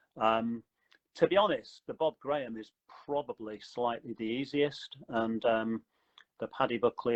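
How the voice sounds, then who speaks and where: A man's plain, everyday voice at medium pitch, with fairly even intonation and a moderate pace. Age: 60s. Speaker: running company founder. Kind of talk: interview.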